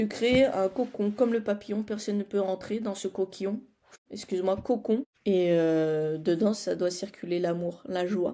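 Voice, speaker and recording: A woman speaks at a fairly slow pace with ordinary pitch variation. Her tone is dark and mellow. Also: medium pitch for a woman. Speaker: personal development vlogger. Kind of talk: casual vlog chat. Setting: home studio. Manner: animated.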